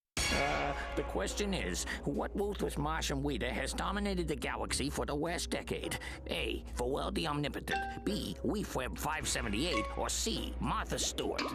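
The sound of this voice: Over loud background music, a man puts on a cartoonish character voice at a moderate pace.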